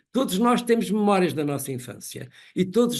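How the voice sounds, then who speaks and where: At a moderate pace, a man talks with lively intonation against a quiet background. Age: 70s. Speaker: professor. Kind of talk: lecture. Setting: webinar.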